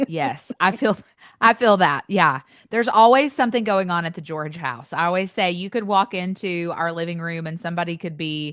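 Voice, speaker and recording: A woman with an East Tennessee accent, at a moderate pace with ordinary pitch variation, against a quiet background. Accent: Southern, East Tennessee. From US South, East Tennessee. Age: 30s. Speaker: author and speaker. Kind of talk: interview.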